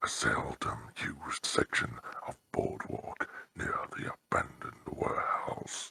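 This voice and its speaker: A man whispers in a put-on character voice at a fairly slow pace. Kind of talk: horror narration. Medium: read story. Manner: slow, ominous.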